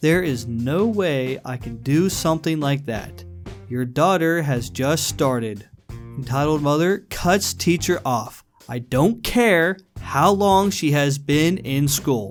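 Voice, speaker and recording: Over music in the background, a man speaks at a very slow pace in a fairly high pitch with very wide pitch swings. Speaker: reddit story narrator. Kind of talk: reddit story reading.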